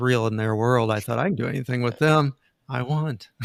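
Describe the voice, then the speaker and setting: A man with an ordinary speaking voice talks at medium pitch with ordinary pitch variation. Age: 60s. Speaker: inventor and energy healer. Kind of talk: interview.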